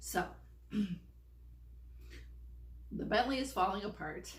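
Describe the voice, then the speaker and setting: Noticeable background noise runs behind a woman as she speaks. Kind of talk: casual talk to camera.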